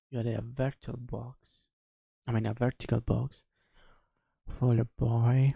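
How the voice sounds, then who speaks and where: Whispering at a moderate pace, a man sounds somewhat breathy and leaves long, frequent pauses. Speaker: streamer. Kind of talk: casual live stream commentary. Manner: subdued.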